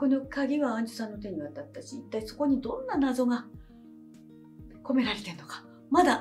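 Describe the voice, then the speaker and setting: A woman's high voice with very wide pitch swings, faint music playing in the background. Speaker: actress. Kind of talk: casual talk to camera. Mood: warm, cheerful. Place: studio.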